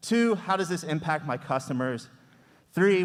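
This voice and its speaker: On a very clean recording with a silent background, a man speaks loudly at a moderate pace. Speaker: parent speaking at public comment. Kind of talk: public comment at school board meeting. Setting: public meeting with microphone.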